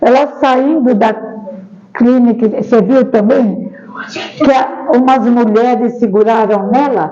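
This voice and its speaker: A woman speaks very slowly at a high pitch, leaving long, frequent pauses, with fairly even intonation and very even loudness. Audible room echo and noticeable background noise surround her voice. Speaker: spiritist seminar speaker. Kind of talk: seminar talk with audience discussion.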